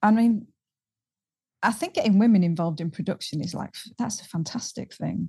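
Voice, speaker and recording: Over a quiet background, a woman speaks with a Yorkshire accent. Her voice is somewhat breathy, with ordinary pitch variation. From Halifax, Yorkshire. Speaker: singer. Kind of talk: casual interview.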